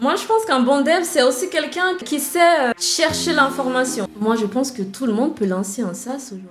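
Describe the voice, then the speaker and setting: A woman's high voice with very wide pitch swings, at a moderate pace with hardly any pauses, over background music. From Nigeria. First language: English (speaking French). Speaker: web developer and founder. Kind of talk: podcast interview.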